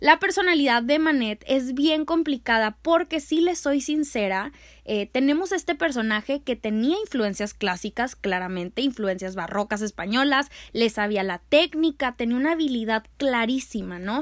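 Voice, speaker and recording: In a very clean recording with a silent background and a dry, close sound with no echo, a high-pitched woman speaks at a moderate pace with an animated tone and very wide pitch swings. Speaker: art history podcaster and youtuber. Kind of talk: casual educational monologue. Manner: loud.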